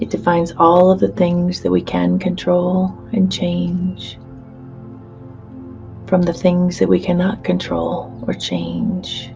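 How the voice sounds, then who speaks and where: A woman's very slow, soothing voice over background music. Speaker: hypnotherapist. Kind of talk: guided hypnosis session.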